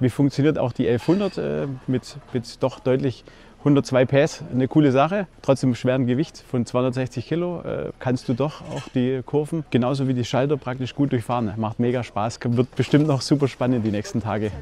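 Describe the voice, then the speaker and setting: A man speaks with a Swabian accent in a dark, mellow tone and ordinary pitch variation. He barely pauses at all. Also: medium pitch for a man, moderate pace. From Stuttgart, Swabia. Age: 40s. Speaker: motorcyclist on group tour. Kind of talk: casual interview. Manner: hesitant with fillers.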